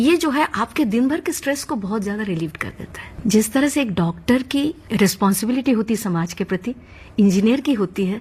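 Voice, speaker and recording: A woman with a Bengali accent talks at a moderate pace with hardly any pauses, in a fairly high pitch. Her intonation is lively and her voice somewhat breathy. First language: Bengali (speaking Hindi). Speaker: classical music teacher. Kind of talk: interview.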